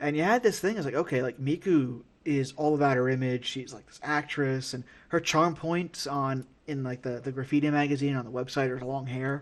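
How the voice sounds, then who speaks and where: A man with an American accent, fairly high in pitch, at a fairly quick pace. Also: quiet background. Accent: New York, comes out at times. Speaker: wrestling podcast host. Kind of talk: casual chat. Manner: halting, many fillers and repeated words. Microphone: audio issues, quality changes from backup recording.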